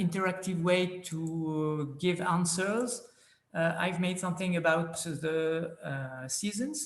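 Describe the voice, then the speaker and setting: In a French accent, a man with a high pitch speaks very slowly with ordinary pitch variation, and audible room echo surrounds him. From France. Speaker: planetarium presenter. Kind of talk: conference presentation. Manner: halting, many filler sounds.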